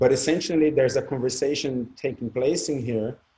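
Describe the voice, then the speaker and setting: A man's somewhat breathy voice, medium in pitch, with a dark, mellow tone, ordinary pitch variation and a moderate pace. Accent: Portuguese. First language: Portuguese. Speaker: spiritual discussion panelist. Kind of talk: casual group discussion.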